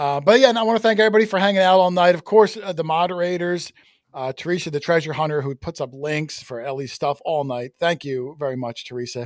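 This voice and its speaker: On a very clean recording with a silent background, a man speaks very fast with fairly high pitch and lively intonation, the sound dry and close with no echo. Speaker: coin hunting show host. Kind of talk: live stream chat. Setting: live stream with co-hosts. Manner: stutter; casual, halting with fillers.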